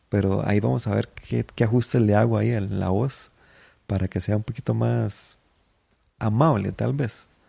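With a dark, mellow tone and lively intonation, a man speaks at a moderate pace in a fairly low, somewhat breathy voice. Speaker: comedian podcaster. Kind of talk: casual monologue.

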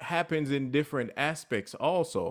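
A man with a normal speaking voice and a fairly high pitch, on a very clean recording with a silent background. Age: 30s. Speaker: faith-based podcast host. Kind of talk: motivational talk. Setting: live stream.

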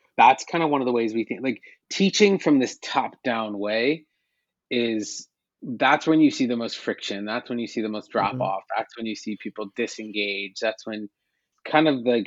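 In a normal speaking voice, a man talks at a moderate pace with medium pitch and ordinary pitch variation, his loudness swinging widely. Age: 40s. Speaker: tech company CEO. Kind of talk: interview.

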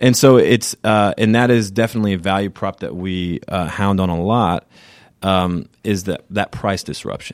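In an unremarkable speaking voice, a man with an American accent talks at a moderate pace and a fairly low pitch, the sound dry and close with no echo. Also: fairly even intonation. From US South, Savannah area of Georgia. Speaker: sales executive of an education company. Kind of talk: podcast interview. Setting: studio.

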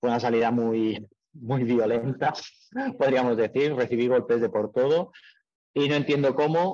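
A man at a medium pitch speaks with very even loudness, ordinary pitch variation, and long, frequent pauses. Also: fairly slow pace. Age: 30s. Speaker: amateur triathlete and mechanic. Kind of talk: interview.

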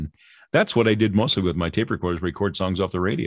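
A man speaks at a very fast pace. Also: quiet background. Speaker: retired radio broadcaster. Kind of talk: storytelling interview.

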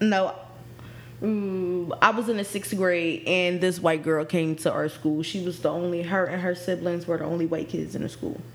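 Noticeable background noise is present. A woman speaks at a moderate pace and fairly low pitch, with ordinary pitch variation. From Philadelphia. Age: 20s. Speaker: podcast co-host. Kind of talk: casual chat.

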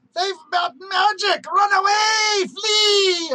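Shouting in a shrill, put-on character voice at an extremely high pitch, the speaker goes at a very slow pace. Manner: screeching.

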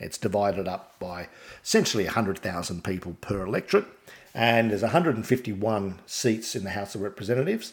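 A man with an Australian accent, fairly low pitch, ordinary pitch variation and big swings in loudness at a moderate pace, on a very clean recording with a silent background. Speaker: podcast host. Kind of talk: solo podcast monologue about politics. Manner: informative, somewhat halting with fillers.

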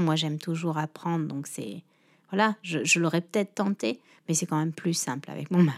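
Captured in a dry, close sound with no echo on a very clean recording with a silent background, a woman speaks at a fairly low pitch with ordinary pitch variation. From Réunion. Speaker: shop owner. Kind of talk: interview. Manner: halting.

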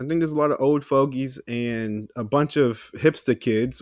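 An unremarkable speaking voice from a man at medium pitch, fairly even in intonation, on a very clean recording with a silent background. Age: 20s. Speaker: podcast co-host. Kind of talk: casual chat.

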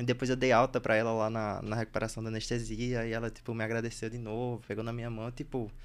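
In a very clean recording with a silent background, a man with a Recife accent speaks very fast at medium pitch, monotone and flat, with hardly any pauses. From Bahia and Recife, Brazil. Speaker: podcast host, anesthesiology resident. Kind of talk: casual chat.

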